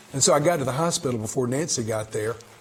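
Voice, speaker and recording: Noticeable background noise sits behind this man. His pitch is medium, with ordinary pitch variation. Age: 60s. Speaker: pastor. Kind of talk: bible study teaching. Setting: room with a group. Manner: conversational.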